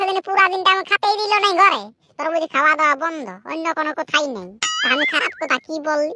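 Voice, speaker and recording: A cartoonish character voice from a woman, extremely high-pitched with lively intonation, in a dry, close sound with no echo. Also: moderate pace. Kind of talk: comic cartoon monologue. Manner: chatty, rambling, addresses viewers.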